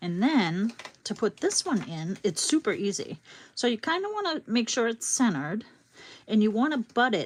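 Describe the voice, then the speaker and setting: A woman with a Boston accent talks at a moderate pace, her fairly high pitch making very wide swings. Her voice is somewhat breathy. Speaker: crafting YouTuber. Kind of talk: live craft tutorial. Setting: livestream. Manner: casual, chatty.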